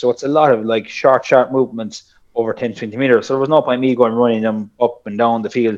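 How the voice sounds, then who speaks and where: The speech comes at a very fast pace. It carries a Kerry accent. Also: man. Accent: Irish, Kerry. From South Kerry, Ireland. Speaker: personal trainer and strength coach. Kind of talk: casual interview chat.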